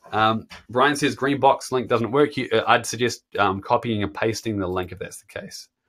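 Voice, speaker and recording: A man with a New Zealand accent, medium pitch and ordinary pitch variation, moderate pace with hardly any pauses, on a very clean recording with a silent background. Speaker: guitar teacher. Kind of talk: live stream chat reading viewer comments. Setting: live stream. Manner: casual, filler-heavy.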